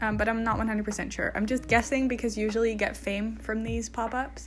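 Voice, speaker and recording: A woman speaks at a fairly quick pace with a fairly high pitch. Her voice is somewhat breathy. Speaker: gaming video creator. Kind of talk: casual voice-over commentary. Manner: chatty, informal.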